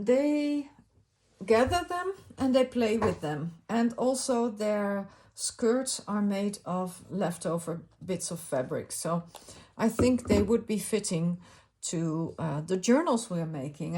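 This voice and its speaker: A somewhat breathy woman with a Dutch accent, medium pitch and very wide pitch swings, at a very slow pace in a very clean recording with a silent background. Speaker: crafting YouTuber. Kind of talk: casual craft video talk. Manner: halting, many fillers.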